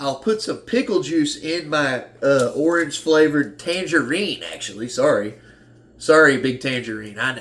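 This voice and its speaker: A fairly high-pitched man with an American accent, lively intonation and a moderate pace. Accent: Southern US, sometimes strong. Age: 30s. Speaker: fitness vlogger. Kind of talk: casual vlog talk. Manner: halting, many restarts.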